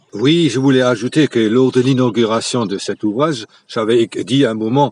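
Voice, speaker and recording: The delivery comes at a fairly slow pace with fairly even intonation and a dry, close sound with no echo. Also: man. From Moselle, France (Franconian dialect area). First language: Franconian dialect (Platt) (speaking French). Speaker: local history enthusiast. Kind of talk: radio interview.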